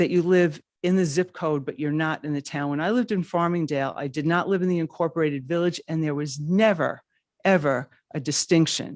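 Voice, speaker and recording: Someone speaks at a fairly quick pace with a New York accent over a quiet background. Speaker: public commenter at town council. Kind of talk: public comment. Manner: halting.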